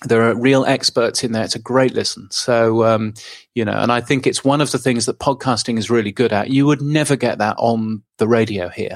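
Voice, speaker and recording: A man speaks at a medium pitch with fairly even intonation. The recording is very clean against a silent background. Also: fairly quick pace. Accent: British. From England. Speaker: podcast news publisher. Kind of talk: interview.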